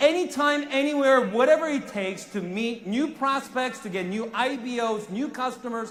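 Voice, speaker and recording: A man with a Korean accent speaks at a moderate pace in an animated tone, his extremely high pitch moving with ordinary variation over noticeable background noise and audible room echo. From South Korea. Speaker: network marketing sales executive. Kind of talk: motivational speech. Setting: stage with audience.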